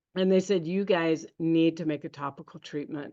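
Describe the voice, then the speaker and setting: A woman with an American accent, an ordinary speaking voice, fairly low pitch and ordinary pitch variation, against a quiet background. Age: 60s. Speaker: network marketing presenter. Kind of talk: sales pitch.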